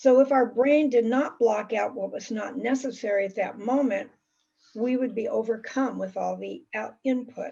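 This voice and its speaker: High-pitched woman's voice with fairly even intonation. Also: moderate pace. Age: 70s. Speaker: talk presenter in a discussion circle. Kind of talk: prepared talk. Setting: video call.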